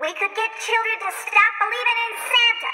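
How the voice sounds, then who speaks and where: The speaker uses a cartoonish character voice. The pace is moderate. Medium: puppet.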